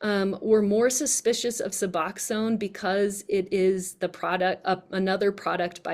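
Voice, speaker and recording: Here is a woman with an unremarkable speaking voice. She talks at a fairly slow pace with fairly even intonation. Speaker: researcher presenting her work. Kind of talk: online presentation.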